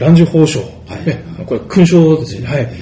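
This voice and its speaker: Over noticeable background noise, a man talks at a moderate pace with a fairly high pitch. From Japan, Fukuoka. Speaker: tv interviewer. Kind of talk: interview. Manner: formal.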